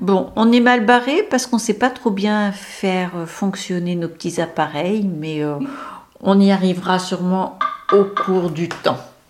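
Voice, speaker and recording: Very slow speech from a woman, ordinary in its pitch variation. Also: medium pitch for a woman. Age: 60s. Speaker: podcast co-host recording family memories. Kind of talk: casual chat.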